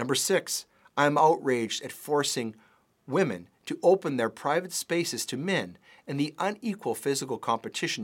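Man's voice, fairly high-pitched, with very wide pitch swings at a moderate pace, in a dry, close sound with no echo. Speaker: political commentator and lawyer. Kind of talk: scripted commentary read aloud, with an angry rant in the middle.

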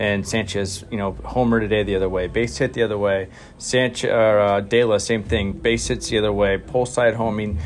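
Noticeable background noise sits under a man talking at a fairly quick pace with hardly any pauses. His pitch is fairly low and his intonation fairly even. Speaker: baseball manager. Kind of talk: post-game interview.

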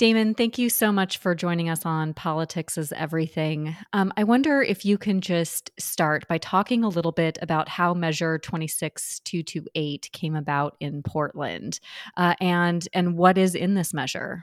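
A woman has an ordinary speaking voice with a fairly low pitch and ordinary pitch variation. She talks at a fairly slow pace with hardly any pauses. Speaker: podcast host. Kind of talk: interview.

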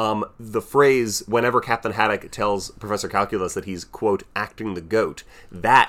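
A man with an American accent talks at a moderate pace and a fairly low pitch. He has a plain, everyday voice. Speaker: podcast host. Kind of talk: casual chat.

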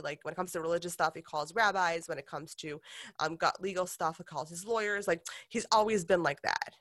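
A woman with an American accent speaks in an unremarkable speaking voice, fairly low in pitch, with ordinary pitch variation at a fairly quick pace. The recording is very clean with a silent background. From Detroit, Michigan, US. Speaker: makeup company founder. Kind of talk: interview conversation. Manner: casual, frequent fillers.

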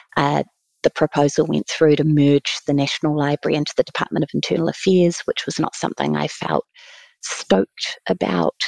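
In a New Zealand accent, a woman speaks at a fairly quick pace, her voice dry and close with no echo against a quiet background. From New Zealand, Taranaki (near New Plymouth). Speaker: museum chief executive. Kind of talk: interview.

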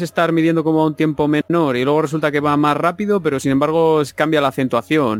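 A man with a fairly high pitch and ordinary pitch variation talks in a normal speaking voice, recorded very cleanly against a silent background with a dry, close sound and no echo. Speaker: music and video game podcaster. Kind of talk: casual chat.

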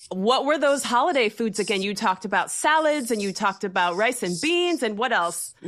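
Over noticeable background noise, a woman talks at a fairly quick pace with hardly any pauses, her fairly high voice making very wide pitch swings. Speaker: radio host. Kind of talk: scripted intro and interview.

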